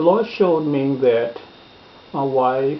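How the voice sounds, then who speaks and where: Against noticeable background noise, a man speaks at a very slow pace in a medium pitch with fairly even intonation. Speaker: preacher. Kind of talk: personal testimony, sermon-style storytelling.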